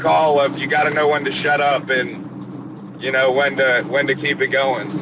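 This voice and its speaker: Noticeable background noise sits behind a man with an American accent. He has a fairly high pitch, a moderate pace and fairly even intonation. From Georgia and Pennsylvania. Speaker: plumber. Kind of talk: casual interview chat. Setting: in a car, stuck in traffic. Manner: talkative.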